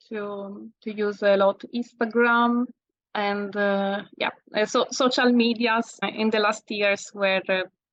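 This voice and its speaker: A woman's fairly high voice in a flat monotone at a very slow pace. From Italy. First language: Italian. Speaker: landscape photographer. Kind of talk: interview. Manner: halting.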